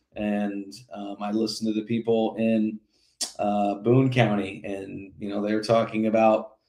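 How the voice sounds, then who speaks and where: With an American accent, a man speaks in a dark, mellow tone at fairly low pitch. His intonation is flat and monotone, his pace fairly slow. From Indiana. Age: 40s. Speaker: political candidate. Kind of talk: interview. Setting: podcast.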